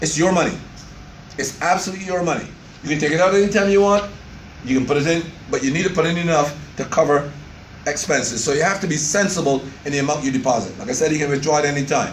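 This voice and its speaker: Amid noticeable background noise, a man speaks very fast at a fairly high pitch with ordinary pitch variation, leaving long, frequent pauses. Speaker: doctor, insurance plan presenter. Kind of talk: informational presentation to members.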